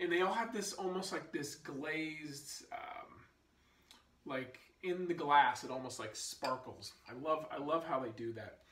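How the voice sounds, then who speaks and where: A man talks at a fairly slow pace, with audible echo in the room. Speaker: whiskey reviewer. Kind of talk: product review vlog; casual review chat. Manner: slow, halting with fillers. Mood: relaxed, enthusiastic. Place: home room. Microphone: phone near.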